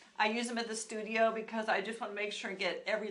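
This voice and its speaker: A woman speaks with audible room echo. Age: 60s. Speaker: esthetician and skincare channel host. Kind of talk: live skincare tutorial. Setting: live stream at a studio. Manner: casual, conversational with fillers.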